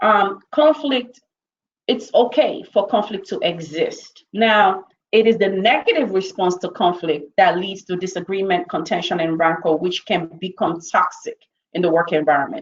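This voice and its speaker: Lively intonation in a woman's voice of medium pitch. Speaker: corporate trainer. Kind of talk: webinar presentation. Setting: online webinar. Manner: fast.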